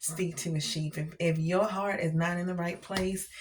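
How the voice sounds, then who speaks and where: Against noticeable background noise, a woman with a fairly low voice speaks at a moderate pace in a monotone, flat way. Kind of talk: faith testimony vlog. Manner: hesitant, many fillers.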